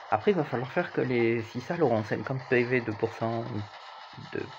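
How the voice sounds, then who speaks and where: Noticeable noise fills the background. Against it, a man speaks in a mid-range voice. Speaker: gaming YouTuber. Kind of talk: gameplay commentary. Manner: casual, conversational.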